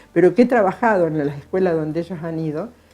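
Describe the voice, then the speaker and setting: A woman's voice with a dark, mellow tone. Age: 60s. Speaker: retired school cook. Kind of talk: interview testimony. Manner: halting, repetitive.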